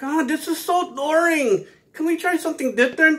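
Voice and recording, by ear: At a moderate pace, a man does a put-on character voice pitched extremely high.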